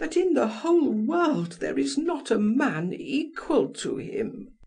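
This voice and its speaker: In a put-on character voice, the speaker uses a fairly high pitch with very wide pitch swings and a fairly slow pace. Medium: read story. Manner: archaic, formal speech.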